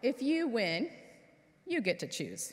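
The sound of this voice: A woman does a put-on character voice at a fairly high pitch with a slightly husky edge, very wide pitch swings and a slow pace.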